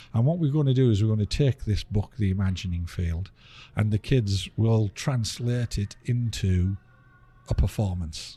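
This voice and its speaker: A man with an English accent speaks at a moderate pace in a fairly low, somewhat breathy voice with a dark, mellow tone and ordinary pitch variation, in a very clean recording with a silent background. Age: 60s. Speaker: theatre executive director. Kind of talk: interview. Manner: halting.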